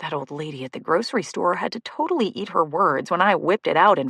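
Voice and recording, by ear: Natural-voiced reading aloud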